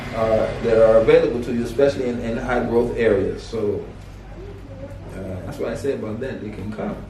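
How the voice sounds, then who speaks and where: A man at a moderate pace with ordinary pitch variation, audible room echo and noticeable background noise. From US West Coast, Los Angeles. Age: 60s. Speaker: martial arts teacher, expat. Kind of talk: interview. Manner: halting.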